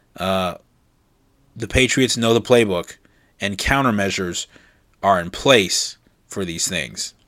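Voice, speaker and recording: On a very clean recording with a silent background, a man with a Californian accent speaks at a fairly slow pace, leaving long, frequent pauses. His fairly low voice has a bright, sharp tone and ordinary pitch variation. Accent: General American (California). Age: 20s. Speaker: podcast host. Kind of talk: solo political news commentary. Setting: sitting at a desk recording.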